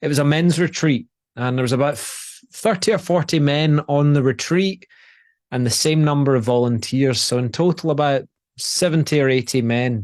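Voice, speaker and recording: Speaking with a Scottish accent, a man with a fairly high pitch talks at a moderate pace with ordinary pitch variation. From Scotland. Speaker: presence and relationship coach. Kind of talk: motivational talk. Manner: repetitive false starts.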